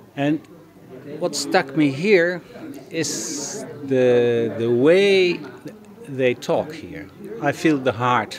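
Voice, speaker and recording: At a very slow pace, a medium-pitched man speaks with very wide pitch swings and long, frequent pauses over noticeable background noise. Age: 70s. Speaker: dentist. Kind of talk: testimony.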